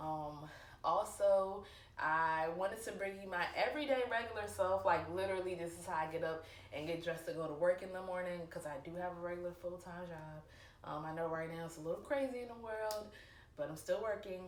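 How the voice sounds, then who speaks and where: At a fairly quick pace, a woman with a fairly low voice and ordinary pitch variation speaks amid noticeable background noise and audible room echo. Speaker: sneaker vlogger. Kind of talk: casual vlog talk. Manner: lots of filler ums.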